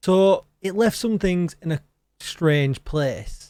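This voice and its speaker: A man speaks with lively intonation and an English accent. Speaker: gaming streamer. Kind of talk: gaming news commentary. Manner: animated.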